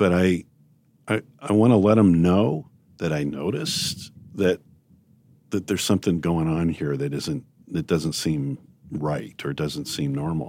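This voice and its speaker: A man with a very deep, low pitch and a dark, mellow tone speaks at a fairly slow pace with long, frequent pauses. His intonation is lively, and the recording is very clean with a silent background. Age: 60s. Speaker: leadership podcast host. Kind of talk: casual interview chat.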